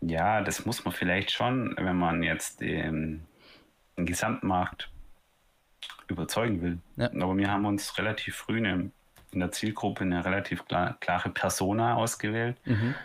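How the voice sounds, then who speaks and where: Recorded very cleanly against a silent background, a man speaks at a fairly slow pace with very even loudness and ordinary pitch variation. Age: 30s. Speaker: startup founder. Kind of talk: casual interview.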